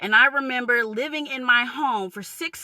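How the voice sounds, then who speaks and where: A woman's raised, projected, high voice in a New York accent, animated in tone with lively intonation, at a moderate pace, dry and close with no echo. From New York, Long Island. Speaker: vlogger. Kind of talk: rant.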